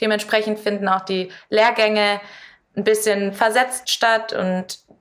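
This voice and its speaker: In a very clean recording with a silent background, a woman of medium pitch talks at a moderate pace. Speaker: competitive climber. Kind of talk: interview. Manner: clear, composed.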